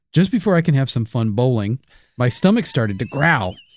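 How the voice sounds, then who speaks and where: A man's medium-pitched voice at a moderate pace, lively in intonation, with a dry, close sound, no echo, and a very clean recording against a silent background. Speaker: comedian podcast co-host. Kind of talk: comedic conspiracy podcast chat and presentation. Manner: loud.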